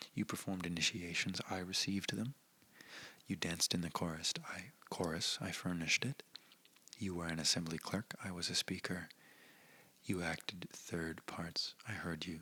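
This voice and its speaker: The voice is soft-spoken with a gentle tone. It moves at a moderate pace, broken by long, frequent pauses. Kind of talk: soft-spoken ASMR reading of a historical speech with commentary. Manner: soft-spoken, gentle.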